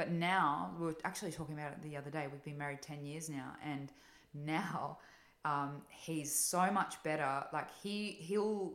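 Her pitch very deep and low, a woman talks at a moderate pace with ordinary pitch variation. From Italy, moved to Australia at 9. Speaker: podcast guest, mother. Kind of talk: casual chat. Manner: animated.

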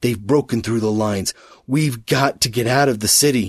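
A man in a raspy, put-on character voice at a medium pitch, moving at a moderate pace. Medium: read story. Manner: urgent, desperate.

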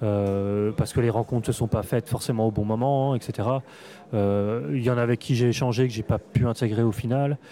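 A man's medium-pitched voice with a dark, mellow tone, fairly even intonation, very even loudness and a moderate pace. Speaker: comics writer and critic. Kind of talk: interview. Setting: comics festival.

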